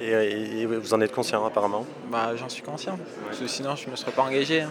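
Amid noticeable background noise and audible room echo, the speaker moves at a fairly quick pace with ordinary pitch variation. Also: man. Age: young. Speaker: army recruit. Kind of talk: interview.

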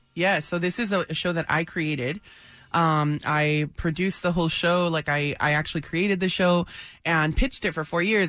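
With an American accent, the speaker keeps a moderate pace and fairly even intonation against a quiet background. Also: woman. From San Diego, National City, California. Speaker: chef. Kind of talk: radio interview.

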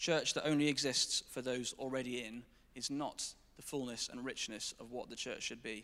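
In a very clean recording with a silent background, a man speaks with an English accent. His tone is bright and sharp, his intonation fairly even. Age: 20s. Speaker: church staff member. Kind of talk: testimony. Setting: church stage with congregation.

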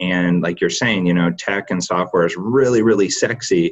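With a slight Michigan accent, the speaker goes at a moderate pace with ordinary pitch variation. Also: man. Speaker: company founder and president. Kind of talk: podcast interview. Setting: video call.

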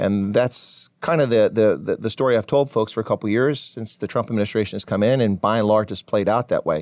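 A man with an American accent speaks in a normal speaking voice at medium pitch and a fairly quick pace, with hardly any pauses, on a very clean recording with a silent background and dry, close sound with no echo. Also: ordinary pitch variation. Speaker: military officer and professor. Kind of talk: interview.

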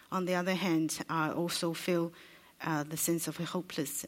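Speaking with a Chinese accent, a woman uses a fairly low pitch and monotone, flat intonation at a fairly slow pace. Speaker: interpreter. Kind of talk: consecutive interpreting. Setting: stage with audience.

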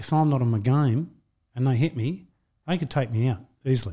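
In a very clean recording with a silent background, a man speaks at a moderate pace in a dark, mellow, somewhat breathy tone with ordinary pitch variation. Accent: Australian. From Australia, western Sydney. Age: 50s. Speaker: record-breaking boxer, mental health advocate. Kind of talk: interview.

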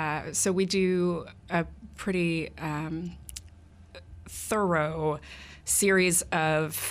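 A woman with a very deep, low pitch and an American accent. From Texas, Fort Worth. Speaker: executive director of a political organization. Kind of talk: radio interview. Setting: radio studio.

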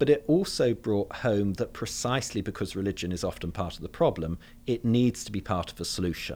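Recorded very cleanly against a silent background, a man with a southern English accent speaks at a fairly quick pace in a fairly low pitch with ordinary pitch variation. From London, England. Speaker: theology professor. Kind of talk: interview.

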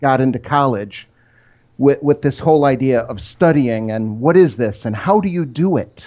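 A man speaks with an Upper Midwest accent. His pitch is medium and his pace moderate. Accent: Upper Midwest American. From Michigan (Rochester, near Detroit). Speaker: technical author. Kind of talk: interview.

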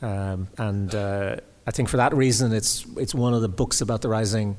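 Here a man speaks at a moderate pace and a fairly low pitch. His intonation stays fairly even. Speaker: critic and interviewer. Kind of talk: public conversation. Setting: stage with audience.

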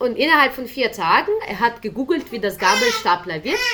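Music plays in the background. The voice swings very widely in pitch at a moderate pace. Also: woman. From Ukraine. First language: Ukrainian/Russian (speaking German). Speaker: volunteer interpreter for refugees. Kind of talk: interview. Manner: hesitant, many fillers.

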